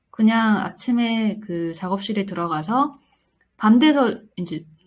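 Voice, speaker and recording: A somewhat breathy woman at medium pitch, fairly slow and with ordinary pitch variation, in a very clean recording with a silent background. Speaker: independent animation director. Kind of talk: interview. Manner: gentle, warm; hesitant, with fillers.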